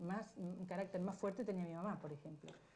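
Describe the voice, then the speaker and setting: In a room with audible echo, a woman talks at a fairly quick pace, her fairly low voice dark, mellow and somewhat breathy. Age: 60s. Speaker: interviewee. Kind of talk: television interview.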